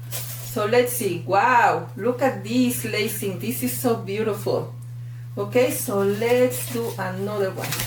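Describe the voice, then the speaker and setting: There is noticeable background noise and audible room echo as a woman speaks with a Mexican accent. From Mexico. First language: Spanish. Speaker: fluid art instructor. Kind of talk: tutorial. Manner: animated.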